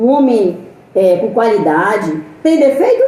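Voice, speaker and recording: The speech moves at a fairly slow pace. Audible room echo and noticeable background noise accompany it. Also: woman. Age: 60s. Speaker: missionary preacher. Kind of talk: sermon. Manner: animated.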